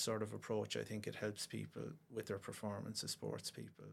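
A monotone, flat delivery in a Cork accent at a moderate pace. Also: man. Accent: Cork Irish. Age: 50s. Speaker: pediatric osteopath and football coach. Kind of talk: casual interview. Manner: hesitant, many fillers.

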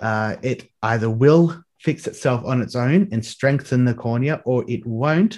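Against a quiet background, a man with an Australian accent talks with ordinary pitch variation. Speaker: digital artist. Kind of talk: casual interview.

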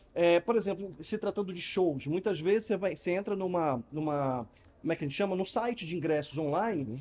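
This man talks at a fairly quick pace with lively intonation. His pitch is high. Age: 50s. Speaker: customer experience consultant and speaker. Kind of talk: interview. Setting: live event venue.

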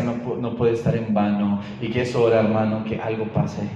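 At a moderate pace, a man with a fairly low pitch speaks in a monotone, flat way, with audible room echo and noticeable background noise. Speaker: preacher. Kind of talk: sermon.

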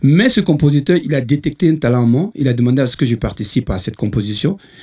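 Talking at a very fast pace, a man with a dark, mellow tone and a fairly high pitch sounds somewhat breathy, his intonation lively. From Ivory Coast. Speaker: musician. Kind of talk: casual chat.

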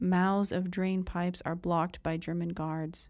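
In a solemn, dark and mellow tone, a woman speaks at medium pitch and a fairly slow pace on a very clean recording with a silent background. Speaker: newspaper article reader. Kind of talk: 1940s newsreel-style narration. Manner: crisp, declamatory.

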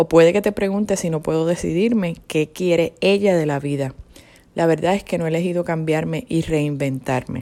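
A woman speaks at a moderate pace with a dark, mellow tone. Her fairly low pitch shows ordinary variation. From Puerto Rico. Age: 40s. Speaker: personal testimony speaker. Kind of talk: testimony.

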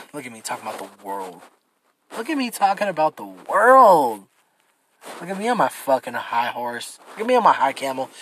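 A man with a fairly high voice speaks at a fairly quick pace in an animated tone. His pitch swings very widely and his loudness rises and falls sharply. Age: 20s. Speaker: solo podcast host. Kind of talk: casual rant.

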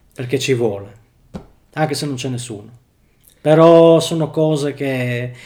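A man with a dark, mellow tone speaks at a fairly slow pace, leaving long, frequent pauses. His pitch sits fairly high and varies in an ordinary way. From Friuli, northeastern Italy (Tarcento). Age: 40s. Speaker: factory worker. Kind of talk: casual interview chat.

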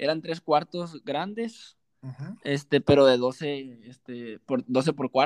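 Very slow speech with ordinary pitch variation, dry and close with no echo, over a quiet background. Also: man. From Mexico, Sinaloa (Los Mochis, rural ranch). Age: 20s. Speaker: professional football striker. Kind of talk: casual interview chat.

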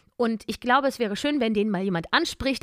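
An animated woman races along at a very fast pace with lively intonation, her sound dry and close without echo. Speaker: voice actress and podcast co-host. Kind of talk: casual chat. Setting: remote call.

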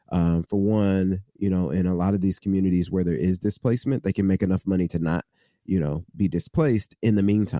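Recorded dry and close with no echo over a quiet background, the voice has an American accent, a dark, mellow tone, ordinary pitch variation and a fairly quick pace. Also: man. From US Midwest. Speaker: social entrepreneur. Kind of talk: interview. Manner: casual, with fillers.

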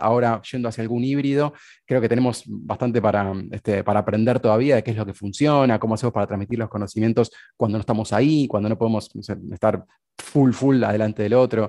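A man speaks very fast with a Rioplatense accent at a medium pitch. His intonation is fairly even against a quiet background. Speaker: podcast host. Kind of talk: interview.

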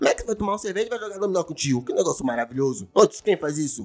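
A man speaks in an animated tone. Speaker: podcast host. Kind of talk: casual monologue. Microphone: new condenser microphone.

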